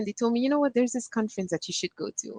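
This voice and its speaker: With ordinary pitch variation, a woman speaks in a Quebec accent. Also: dry, close sound with no echo. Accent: Québécois French-accented English. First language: French. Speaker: panelist. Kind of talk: personal story on a panel. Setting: virtual conference. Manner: halting.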